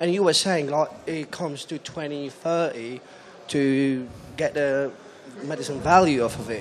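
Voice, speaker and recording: Noticeable background noise accompanies a man with a fairly high pitch. He speaks at a fairly slow pace with fairly even intonation. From Poland. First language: Polish. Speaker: audience member. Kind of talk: audience question.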